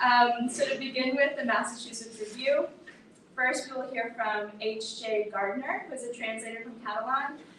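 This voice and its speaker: Someone with an American accent speaks with fairly even intonation and big swings in loudness, with audible room echo. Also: woman, high pitch for a woman, moderate pace. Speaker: event host introducing readers. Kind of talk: formal event introduction.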